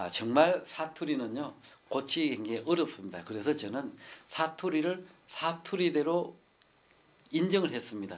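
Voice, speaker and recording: Speaking at a moderate pace with long, frequent pauses, a man uses a fairly high pitch, lively intonation and vocal fry. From rural South Korea. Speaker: poet and speech lecturer. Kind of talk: TV talk show interview. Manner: folksy, homely delivery.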